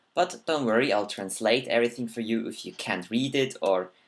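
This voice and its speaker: The speaker has a non-native accent, captured in a very clean recording against a silent background. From Switzerland. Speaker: gaming commentator. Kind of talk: gameplay commentary. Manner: halting, self-correcting.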